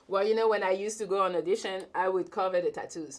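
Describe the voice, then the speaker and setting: A woman speaks in a strong French accent at a medium pitch. Her tone is animated. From France, Paris. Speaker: YouTuber, talk show host. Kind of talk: live-stream Q&A, casual chat.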